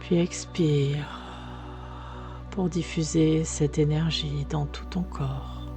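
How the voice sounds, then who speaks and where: Over music in the background, a woman speaks at a very slow pace, with long, frequent pauses. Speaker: sophrologist. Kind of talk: guided relaxation. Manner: soft, slow.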